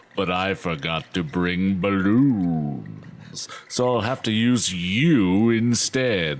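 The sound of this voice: Putting on a sinister, menacing character voice, a man speaks at a very deep, low pitch and a very slow pace with hardly any pauses.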